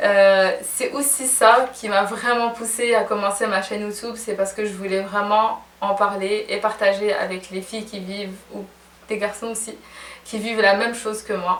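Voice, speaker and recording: Against noticeable background noise and audible room echo, a woman of medium pitch speaks at a moderate pace in a monotone, flat intonation, her loudness swinging widely. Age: 20s. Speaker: fashion and beauty blogger. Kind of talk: casual vlog Q&A.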